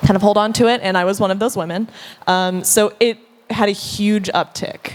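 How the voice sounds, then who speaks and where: A woman with a Southern US accent speaks at a medium pitch and a moderate pace. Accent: Southern US, noticeable. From US Deep South. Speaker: content creator, panelist. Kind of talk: panel discussion.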